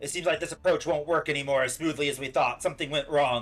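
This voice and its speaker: A man speaks very fast in a put-on character voice pitched fairly high, with faint music in the background. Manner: scheming, concerned.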